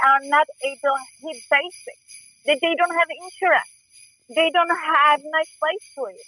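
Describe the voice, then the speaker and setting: Raising and projecting her voice, a woman with a strong non-native accent speaks in a bright, sharp tone, the sound dry and close with no echo. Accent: heavy foreign. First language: not English. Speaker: rideshare driver. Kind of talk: phone interview. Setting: phone call.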